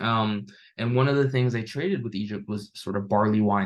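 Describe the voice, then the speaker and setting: Fairly quick and fairly low, a man's voice moves with fairly even intonation. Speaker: history instructor or teaching assistant. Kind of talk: lecture. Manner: fast; hesitant with fillers.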